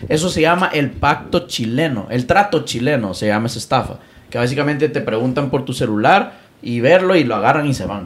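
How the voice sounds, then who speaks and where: Animated in tone, a man talks at a medium pitch and a fairly quick pace with lively intonation. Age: 20s. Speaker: content creator and digital marketer. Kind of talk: casual chat. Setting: home studio.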